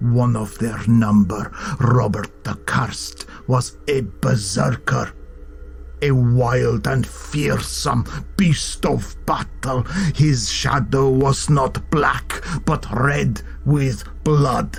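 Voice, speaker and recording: A man's put-on character voice at a very slow pace, with clear background noise. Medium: read story. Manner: low, threatening, dramatic.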